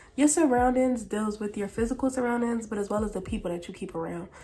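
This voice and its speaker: A woman speaks with an American accent at a fairly high pitch and a fairly quick pace. Her voice is somewhat breathy, and her tone is animated. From Philadelphia, US. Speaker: vlogger. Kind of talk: casual vlog monologue.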